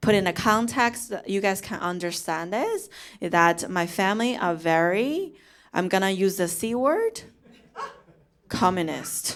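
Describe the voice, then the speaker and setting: In a Chinese accent, a woman with a medium-pitched voice talks at a fairly slow pace with ordinary pitch variation, and room echo can be heard. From China (Chongqing). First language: Mandarin Chinese. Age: 30s. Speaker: comedian. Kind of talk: stand-up. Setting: stage with audience.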